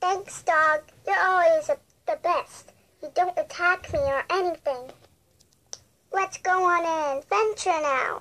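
Putting on a character voice at an extremely high pitch, a woman speaks at a fairly slow pace with long, frequent pauses. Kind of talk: toy story video narration. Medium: role play. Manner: excited.

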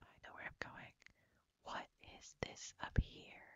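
A woman whispers softly at a fairly slow pace. The sound is dry with no echo, over a quiet background. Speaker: gameplay streamer. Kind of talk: casual game commentary. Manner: soft ASMR whisper.

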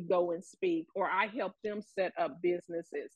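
Against a quiet background, a woman's voice comes through dry, with no echo. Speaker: cannabis entrepreneur; talk show guest. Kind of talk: panel discussion. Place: home room. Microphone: webcam.

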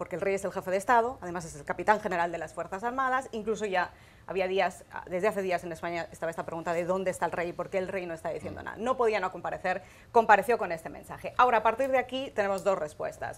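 The speech runs at a very fast pace with big swings in loudness. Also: woman, medium pitch for a woman, ordinary pitch variation. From Spain, Valencia. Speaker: foreign correspondent. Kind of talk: panel discussion. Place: studio. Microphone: lapel.

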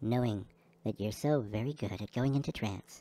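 A gentle tone comes through on a very clean recording with a silent background. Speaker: hypnotist. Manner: slow, soothing, rhythmic pacing timed to breathing; gentle, reassuring, repetitive incantatory phrasing.

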